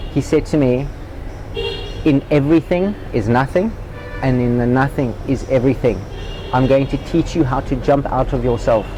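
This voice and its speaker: Music plays in the background as a man speaks at a medium pitch and a moderate pace. He leaves long, frequent pauses, with ordinary pitch variation. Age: 40s. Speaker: spiritual seeker and former tennis player. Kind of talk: interview.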